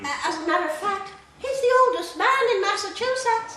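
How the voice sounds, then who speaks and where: In a squeaky, put-on character voice with an extremely high pitch, a woman talks at a fairly quick pace with lively intonation and slight echo. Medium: stage play. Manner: fussy, hesitant.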